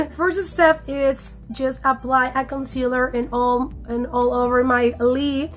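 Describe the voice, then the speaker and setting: With music in the background, a woman with a Mexican accent speaks at a very slow pace in a high pitch, her intonation fairly even and with hardly any pauses. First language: Spanish. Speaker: beauty YouTuber. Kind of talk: tutorial. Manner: halting.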